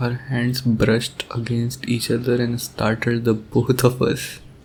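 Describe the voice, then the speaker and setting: A man's tired-sounding voice at a fairly slow pace. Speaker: ASMR roleplay voice performer. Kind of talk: ASMR boyfriend roleplay monologue. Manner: soft, tender, romantic; tired, sleepy.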